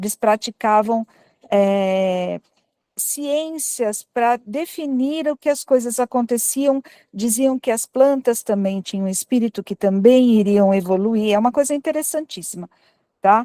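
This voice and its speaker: A quiet woman with a dark, mellow tone and a fairly high pitch speaks at a fairly slow pace with ordinary pitch variation, on a very clean recording with a silent background and a dry, close sound with no echo. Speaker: audience participant at spiritist talk. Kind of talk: group discussion comment. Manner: speaking quietly.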